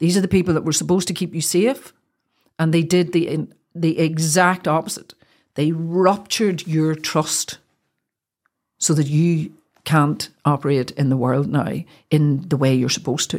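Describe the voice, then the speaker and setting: A woman speaks at a moderate pace with a very deep, low pitch and ordinary pitch variation, leaving long, frequent pauses. The recording is very clean, with a silent background. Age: 60s. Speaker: mind wellness specialist. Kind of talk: interview. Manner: animated.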